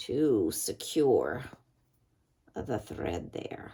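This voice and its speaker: At a very slow pace, a woman speaks. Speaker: crafter. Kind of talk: craft tutorial. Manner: casual, halting.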